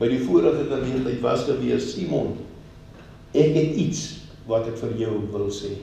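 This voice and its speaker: A man talks with lively intonation. Noticeable background noise and audible room echo surround his voice. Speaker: pastor. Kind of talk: sermon.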